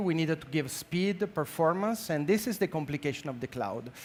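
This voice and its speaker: A man with an Italian accent speaks at a fairly quick pace. His pitch is high for a man, with ordinary variation. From Italy. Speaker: healthcare technology executive. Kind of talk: conference talk. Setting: stage with audience. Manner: halting, many fillers.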